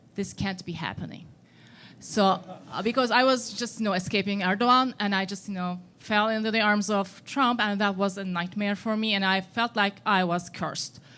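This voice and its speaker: Speaking in a Turkish accent, a woman keeps a moderate pace and fairly even intonation. Her medium-pitched voice has a bright, sharp tone. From Turkey. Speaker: audience member, exiled scholar. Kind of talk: audience question. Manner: hesitant.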